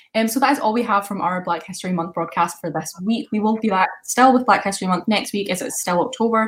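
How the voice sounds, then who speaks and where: A somewhat breathy woman with a Scottish accent speaks at a very fast pace, barely pausing. Her pitch is medium, with ordinary variation. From west of Scotland. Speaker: student radio presenter. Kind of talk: casual radio show presenting.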